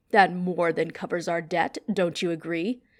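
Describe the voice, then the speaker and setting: A woman growls in a put-on character voice, fairly low in pitch with fairly even intonation. Her pace is moderate, and the recording is very clean with a silent background. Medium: read story. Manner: cold, commanding.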